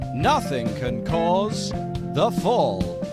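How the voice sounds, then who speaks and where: A man talks in a British accent. Music plays in the background. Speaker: comedian, documentary maker. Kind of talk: improvised mock-documentary voice-over.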